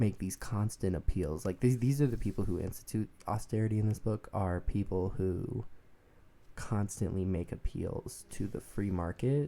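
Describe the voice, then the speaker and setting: The voice is soft-spoken, with a relaxed, dark, mellow tone. It moves at a moderate pace with ordinary pitch variation. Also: man. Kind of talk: soft-spoken ASMR book discussion to camera. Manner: soft-spoken, relaxed.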